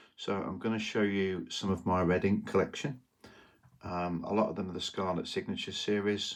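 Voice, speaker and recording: The speaker has a British accent and a fairly quick pace. The intonation stays fairly even. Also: man. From UK. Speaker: trading card collector, YouTuber. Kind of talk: casual show-and-tell monologue. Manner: hesitant, many fillers.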